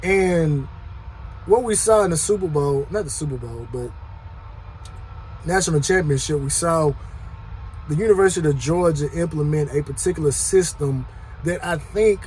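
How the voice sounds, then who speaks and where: A fairly high-pitched man speaks at a moderate pace with ordinary pitch variation, leaving long, frequent pauses. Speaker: sports commentary youtuber. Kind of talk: casual monologue. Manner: loud.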